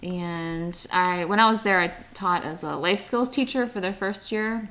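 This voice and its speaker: On a very clean recording with a silent background, a woman with an American accent speaks at a fairly slow pace in a normal speaking voice at medium pitch. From Pittsburgh area, Pennsylvania. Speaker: teacher. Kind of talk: casual chat.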